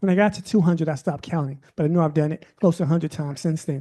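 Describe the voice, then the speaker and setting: A man's high-pitched voice with a dark, mellow tone and fairly even intonation, against a quiet background. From Milwaukee, Wisconsin (early childhood in Mississippi). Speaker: journalist and researcher. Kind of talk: moderated book talk conversation. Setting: bookstore event with audience.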